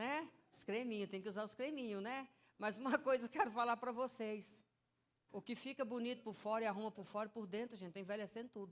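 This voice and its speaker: With an animated tone, a woman speaks at a moderate pace. Her pitch is fairly high, with ordinary pitch variation. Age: 60s. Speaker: preacher. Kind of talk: sermon. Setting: church.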